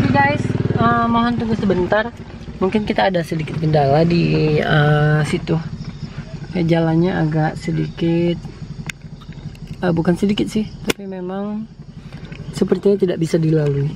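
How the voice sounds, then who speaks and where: Amid noticeable background noise, a woman speaks at a moderate pace with long, frequent pauses. Her fairly low voice shows ordinary pitch variation. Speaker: travel vlogger. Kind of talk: vlog narration. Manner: lowered voice.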